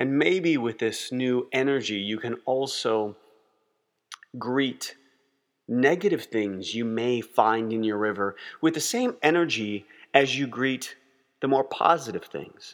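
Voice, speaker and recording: A gentle, calm tone at a fairly slow pace, with ordinary pitch variation and long, frequent pauses. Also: man, medium pitch for a man. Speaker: meditation guide. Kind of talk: guided meditation. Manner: slow, calm, soothing; gentle, measured, with long pauses.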